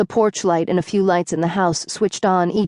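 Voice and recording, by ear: Natural reading aloud with fairly even intonation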